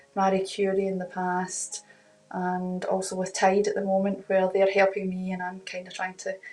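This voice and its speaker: With music in the background, the speaker talks at a moderate pace in a Glaswegian accent with monotone, flat intonation. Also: woman. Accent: Glaswegian Scottish. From Scotland, Glasgow. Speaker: family carer. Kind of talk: interview testimony.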